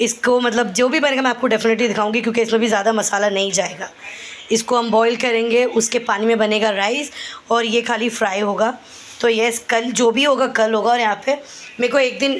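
A woman at a moderate pace with fairly even intonation, over light background noise. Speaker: home vlogger. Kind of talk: casual vlog chat. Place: kitchen. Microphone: phone near.

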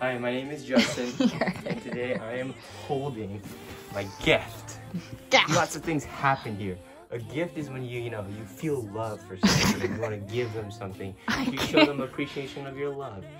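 Loud music plays in the background as the voice moves at a moderate pace. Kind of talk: casual vlog chat. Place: home room. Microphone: phone near.

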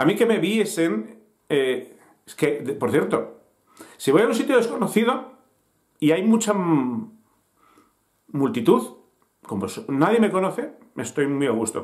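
A man talks at a fairly slow pace with a fairly high pitch, big pitch swings and a slightly mellow tone.

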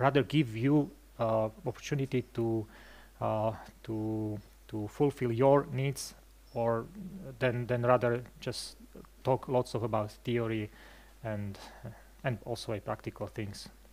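A man speaks at a fairly slow pace. His intonation is fairly even, broken by long, frequent pauses. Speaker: presenter. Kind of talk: lecture. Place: hall. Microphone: headset.

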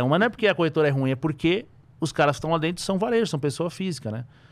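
A man's fairly high voice with lively intonation. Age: 30s. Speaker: trader and investment analyst; investment analyst. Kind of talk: casual interview chat. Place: studio. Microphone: studio mic.

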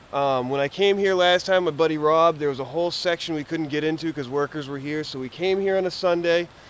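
Intonation stays fairly even as a man talks. The sound is dry with no echo, over light background noise. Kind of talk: casual vlog chat. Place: street. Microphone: phone near.

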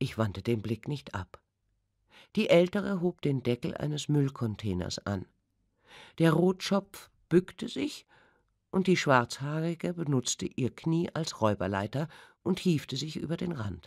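Very deep, low female voice with vocal fry, very wide pitch swings, a fairly slow pace and long, frequent pauses, on a very clean recording with a silent background. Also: dry, close sound with no echo. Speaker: audiobook narrator. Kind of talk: audiobook reading. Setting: studio. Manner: sensual, intense.

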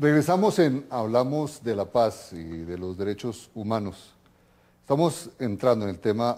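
At a fairly slow pace, a man speaks in a dark, mellow tone with lively intonation. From Colombia. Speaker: TV host, political scientist; TV program host. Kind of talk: TV interview. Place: home room. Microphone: lapel.

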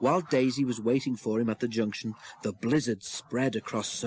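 Intonation holds fairly even. The text is read aloud in a natural voice.

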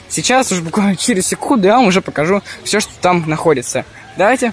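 A man talks at a moderate pace with a high pitch. Crowd noise fills the background. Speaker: ant-keeping vlogger. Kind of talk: vlog walkthrough. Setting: indoors at a zoo with crowds. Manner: casual, filler-heavy.

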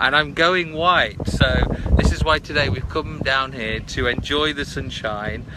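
A man with a British accent, very wide pitch swings, and a fairly slow pace, in a dry sound with no echo, over noticeable background noise. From Britain. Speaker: video blogger; live streamer. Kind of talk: live stream chat. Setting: outdoors by a river. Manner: casual, with many fillers. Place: waterside. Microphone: phone near.

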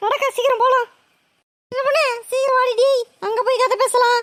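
In a cartoonish character voice, a woman squeaks at an extremely high pitch, monotone and flat, at a moderate pace and very even loudness. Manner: brisk, familiar.

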